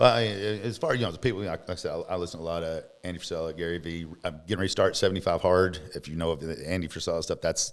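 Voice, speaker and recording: A man with a Kentucky accent talks at a very fast pace with hardly any pauses. His very deep, low pitch shows ordinary variation. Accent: Southern US (Kentucky). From US South, Western Kentucky. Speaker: motorcycle salesman. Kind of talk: interview. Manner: halting.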